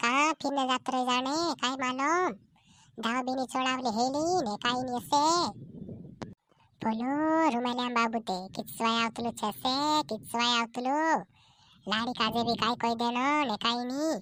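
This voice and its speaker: Using a cartoonish character voice, a woman speaks at a high pitch and a moderate pace. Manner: repetitive, complaining.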